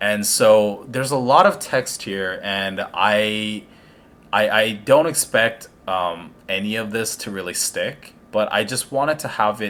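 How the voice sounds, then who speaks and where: A man's fairly low voice at a fairly slow pace, with ordinary pitch variation. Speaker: gaming guide creator. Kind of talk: game tutorial voiceover. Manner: slow, hesitant with many fillers.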